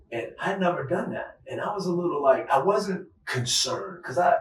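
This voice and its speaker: Noticeable background noise is present. A man speaks in a high pitch with ordinary pitch variation. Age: 60s. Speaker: retired law enforcement agent and human trafficking advocate. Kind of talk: interview conversation.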